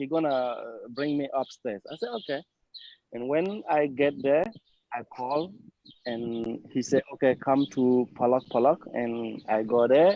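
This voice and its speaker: The speaker has a non-native accent and talks at a fairly slow pace. Pitch variation is ordinary. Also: man, medium pitch for a man. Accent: foreign, non-native English. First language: not English. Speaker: client of the law firm. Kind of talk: testimony. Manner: halting.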